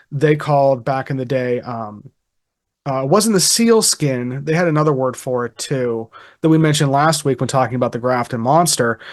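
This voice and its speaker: A man with a Pittsburgh accent talks with ordinary pitch variation against a quiet background. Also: medium pitch for a man, moderate pace. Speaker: podcast host. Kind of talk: casual chat. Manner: halting, many fillers.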